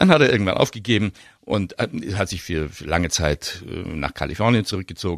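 A man with a very deep, low voice speaks with big swings in loudness. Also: quiet background. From Munich, Germany. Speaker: actor and dubbing voice actor. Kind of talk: casual interview. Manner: thoughtful, hesitant.

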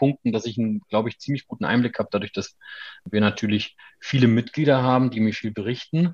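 At a fairly quick pace, a man uses an ordinary speaking voice of medium pitch, recorded with a dry, close sound and no echo. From Mecklenburg-Vorpommern, Germany (Schwerin). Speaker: tax advisers' association director. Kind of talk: interview.

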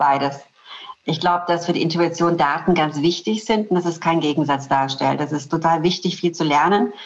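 Using a normal speaking voice, a woman goes at a fairly quick pace, her pitch fairly low with ordinary variation. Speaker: corporate communications executive. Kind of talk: interview.

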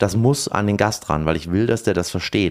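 The speech moves at a moderate pace with lively intonation, on a very clean recording with a silent background. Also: man. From eastern Germany. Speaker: sommelier and restaurateur. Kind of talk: casual chat.

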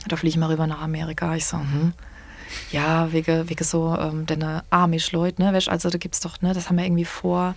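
At a fairly quick pace, a woman speaks with monotone, flat intonation and a fairly low pitch amid noticeable background noise. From Palatinate, Landau. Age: 30s. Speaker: singer and singing DJ. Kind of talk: casual chat.

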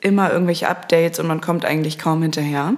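The voice keeps fairly even intonation over noticeable background noise. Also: woman. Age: 20s. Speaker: social media agency founder and podcast host. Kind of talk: solo monologue. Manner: casual, with filler sounds.

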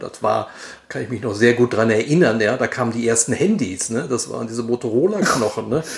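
A man speaks at a moderate pace and medium pitch, his intonation lively over noticeable background noise. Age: 60s. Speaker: advertising agency managing director. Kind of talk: interview. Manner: hesitant, repeats words.

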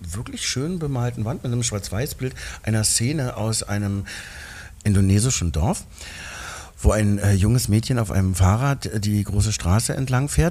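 A man's fairly low-pitched voice with ordinary pitch variation over noticeable background noise. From East Berlin. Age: 50s. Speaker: actor and singer. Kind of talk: casual chat. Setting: restaurant.

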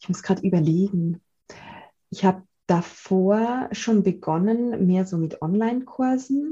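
A woman with a slight Swiss German accent speaks at a fairly slow pace in a somewhat breathy, dark, mellow voice, medium in pitch with ordinary pitch variation. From Switzerland, Zurich. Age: 30s. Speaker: gratitude coach and author. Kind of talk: interview. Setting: video call.

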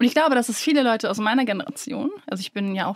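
Her pitch is fairly high. The woman's pitch moves with ordinary variation. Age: 30s. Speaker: podcast co-host, influencer. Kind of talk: casual chat.

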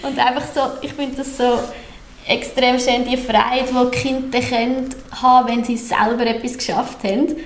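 The voice speaks in a flat monotone at a moderate pace, with long pauses coming often. Noticeable background noise and audible room echo fill the recording. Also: woman, high pitch for a woman. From Central Switzerland (Obwalden). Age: 30s. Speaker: daycare centre director. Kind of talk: podcast interview. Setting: newly renovated room, not a studio.

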